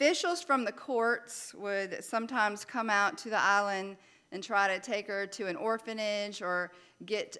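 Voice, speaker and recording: A woman with a Louisiana accent, a bright, sharp tone at medium pitch, and a fairly slow pace, on a very clean recording with a silent background. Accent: Southern US (Louisiana). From Louisiana, US South. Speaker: minister. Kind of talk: sermon.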